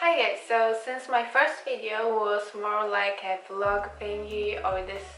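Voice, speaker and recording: With a Polish accent, a woman speaks at a very slow pace and a fairly high pitch. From Poland. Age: 20s. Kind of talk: casual talk to camera. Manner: lengthens the ends of sentences.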